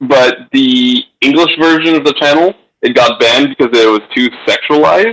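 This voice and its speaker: The sound is dry and close, with no echo. A man with a Franco-Ontarian accent talks at a fairly slow pace. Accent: Franco-Ontarian Canadian English. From Franco-Ontarian community, Canada. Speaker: guest. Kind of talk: casual chat.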